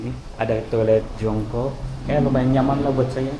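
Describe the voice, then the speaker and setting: A soft-spoken man talks at a moderate pace in a monotone, flat intonation. Noticeable background noise and audible room echo are present. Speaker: travel vlogger. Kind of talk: vlog walkthrough tour. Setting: mosque, on location. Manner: halting.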